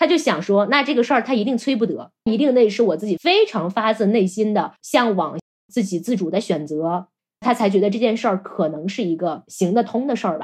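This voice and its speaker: A woman talks fairly quickly in a plain, everyday voice with lively intonation. Her pitch is fairly high. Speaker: podcast host. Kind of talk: casual chat.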